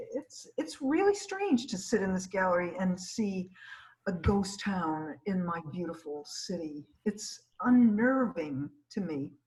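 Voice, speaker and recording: A woman with an unremarkable speaking voice talks at a fairly slow pace with lively intonation. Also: medium pitch for a woman. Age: 60s. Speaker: gallery director hosting artist talks. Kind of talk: casual chat. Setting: video call.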